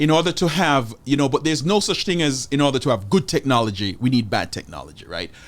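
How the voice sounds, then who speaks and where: A fairly high-pitched man speaks at a very fast pace. His intonation is lively, with vocal fry. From rural Jamaica. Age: 40s. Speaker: high school history teacher. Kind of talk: casual conversation. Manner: halting, repeats words.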